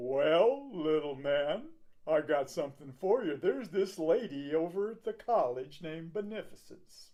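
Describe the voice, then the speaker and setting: Delivered at a moderate pace, the put-on character voice holds a middle pitch. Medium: read story. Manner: folksy, warm.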